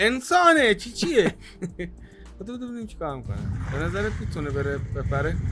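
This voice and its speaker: Music sits in the background as a man talks at a moderate pace with long, frequent pauses and big swings in loudness. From Iran, Shiraz. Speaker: YouTuber, reaction video host. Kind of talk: casual reaction chat. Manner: animated.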